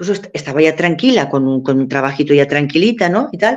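Moderate pace from a woman, with very wide pitch swings. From Spain, Valencia. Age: 60s. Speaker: nun, convent superior. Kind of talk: radio talk show interview. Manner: halting, many fillers and repetitions.

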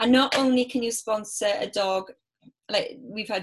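Someone speaks with a Welsh accent at a moderate pace and with ordinary pitch variation. The background is quiet. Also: woman. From Wales. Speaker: business networking organiser. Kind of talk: casual interview.

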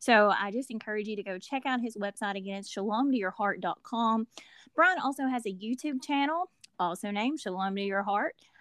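With a Southern US accent, a woman talks at a fairly quick pace and fairly high pitch with lively intonation, her sound dry and close with no echo against a quiet background. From US South. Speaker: podcast co-host and ministry partner. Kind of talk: casual chat and interview; promotional announcements.

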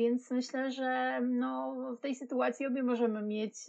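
A woman speaks with a high pitch. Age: 40s. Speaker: podcast co-host, marketing specialist. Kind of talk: casual chat.

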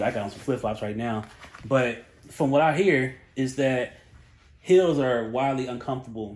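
A man with a North Carolina accent speaks with big swings in loudness. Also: medium pitch for a man, ordinary pitch variation, moderate pace. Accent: Southern US (North Carolina). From Charlotte, North Carolina. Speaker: podcast producer and host. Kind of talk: casual interview chat. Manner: lighthearted, upbeat.

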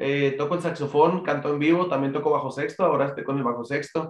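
The man's intonation stays fairly even. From northern Mexico, Chihuahua. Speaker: singer and bandleader. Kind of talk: interview. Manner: halting.

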